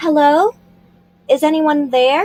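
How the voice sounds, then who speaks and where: A woman uses a put-on character voice pitched high. The sound is dry and close, with no echo. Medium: read story. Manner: stern, polite.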